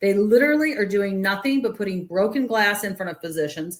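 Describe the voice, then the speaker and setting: The speaker's tone is animated, with very wide pitch swings and a fairly quick pace. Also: woman. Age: 60s. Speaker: rheumatology clinic owner. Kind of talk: podcast interview.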